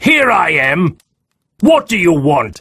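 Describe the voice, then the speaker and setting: In a put-on character voice, a man with a high pitch sounds raspy, raised, and projected, with very wide pitch swings. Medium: audio drama.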